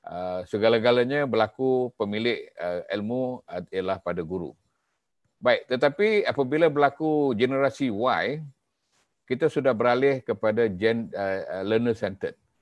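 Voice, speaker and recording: Against a quiet background, a man talks at a fairly slow pace with lively intonation. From Malaysia. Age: 50s. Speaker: professor. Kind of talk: lecture. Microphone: webcam.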